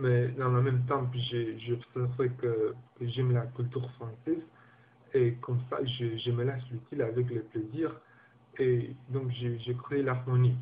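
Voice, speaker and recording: With a non-native accent, a man at medium pitch speaks at a fairly slow pace in a monotone, flat intonation. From Guinea. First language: not French (speaking French). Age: 20s. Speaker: language learner. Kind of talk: personal testimony. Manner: halting, many repetitions and hesitations.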